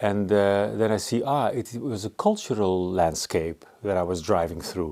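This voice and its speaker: With a Dutch accent, a man speaks in a fairly low pitch and a dark, mellow tone, with ordinary pitch variation. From Netherlands. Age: 60s. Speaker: artist. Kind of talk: interview. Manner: halting.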